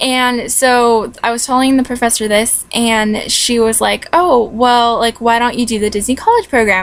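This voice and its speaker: Delivered at a moderate pace with hardly any pauses, the speech has fairly even intonation over noticeable background noise. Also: woman, fairly high pitch for a woman. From California. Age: 20s. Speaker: vlogger, recent graduate. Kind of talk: casual vlog. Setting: at home. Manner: casual, many fillers.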